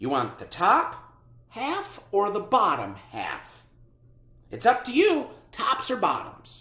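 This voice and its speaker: A man puts on a character voice at an extremely high pitch. He goes at a fairly slow pace, with an audible echo. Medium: read story. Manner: wheedling.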